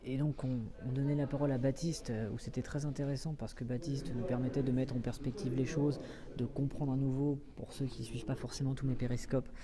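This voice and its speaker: Over noticeable background noise, a man talks at a fairly quick pace with a medium pitch and fairly even intonation. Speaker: livestream reporter. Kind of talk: live on-the-scene commentary. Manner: hesitant, many fillers.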